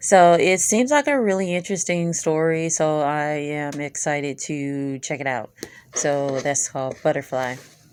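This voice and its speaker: A woman's very deep, low voice at a moderate pace, with ordinary pitch variation. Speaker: manga haul youtuber. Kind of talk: casual haul video talk. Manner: many filler words, hesitant.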